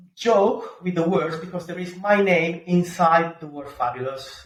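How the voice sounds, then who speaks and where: Speaking at a fairly slow pace, a man talks with a strong Italian accent. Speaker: pizza-making YouTuber. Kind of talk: podcast interview. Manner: halting, many fillers; talks with his hands.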